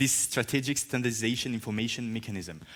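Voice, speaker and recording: In a French accent, a man speaks at a medium pitch with a bright, sharp tone on a very clean recording with a silent background. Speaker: journalist moderator. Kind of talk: panel moderation.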